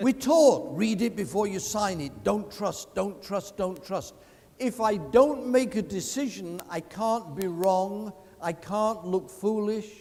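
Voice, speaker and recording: A man's high voice at a very slow pace, with ordinary pitch variation. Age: 70s. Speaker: veteran insurance salesman and sales speaker. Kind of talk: motivational sales talk. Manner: animated.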